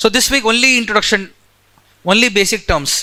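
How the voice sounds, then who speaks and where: A man's raised, projected voice with a bright, sharp tone and lively intonation. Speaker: geography teacher. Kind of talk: lecture.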